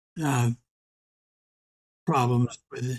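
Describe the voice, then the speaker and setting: Dry and close with no echo, a man's somewhat breathy voice proceeds at a very slow pace. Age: 80s+. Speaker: historian, emeritus history professor. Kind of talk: podcast interview answer. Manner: soft-spoken; quiet, reasoned.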